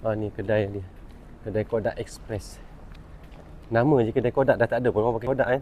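A man speaks very fast in a medium pitch with fairly even intonation. His speech is broken by long, frequent pauses. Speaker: travel vlogger. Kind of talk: casual vlog narration.

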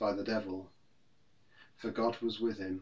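The background stays quiet as a man talks at a moderate pace. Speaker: minister. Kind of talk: scripture reading. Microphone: phone near.

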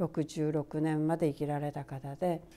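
Speaking at a fairly slow pace, a woman has a very deep, low pitch and a dark, mellow tone. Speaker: Buddhist priest. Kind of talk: Buddhist dharma talk. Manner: frequent fillers and pauses; polite formal speech.

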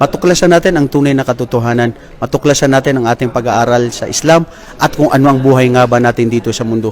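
Talking very fast at a medium pitch, a man keeps his intonation fairly even over noticeable background noise. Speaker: vlogger interviewing Islamic students. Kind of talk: religious exhortation; casual on-location interview vlog. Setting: on location at an Islamic study center.

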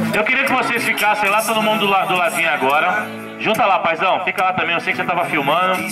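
High, raised and projected male voice at a very fast pace, ordinary pitch variation, over noticeable background noise. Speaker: event announcer / MC for a surprise tribute party. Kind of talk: live event MC hosting a surprise party. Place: street. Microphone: handheld.

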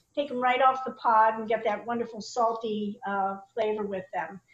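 The speech moves at a moderate pace. There is audible room echo. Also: woman. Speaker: presenter. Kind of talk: tutorial. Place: kitchen. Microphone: video call.

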